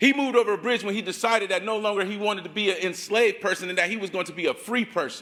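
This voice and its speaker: A man with an American accent speaks very fast in a high, bright and sharp, animated voice, raised and projected, with ordinary pitch variation. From Ohio, Akron. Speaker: community organizer, activist. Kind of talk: rally speech. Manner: impassioned, animated.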